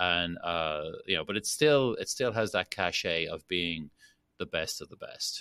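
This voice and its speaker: Over a quiet background, someone speaks at a fairly slow pace in a Dublin accent. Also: man. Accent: Irish (Dublin). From Ireland, Dublin. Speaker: master distiller. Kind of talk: interview.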